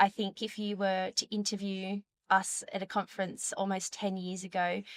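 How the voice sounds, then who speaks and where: A woman with an Australian accent speaks at medium pitch and a moderate pace. Her intonation is monotone and flat, and the sound is dry and close with no echo. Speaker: dietitian. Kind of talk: interview. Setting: conference.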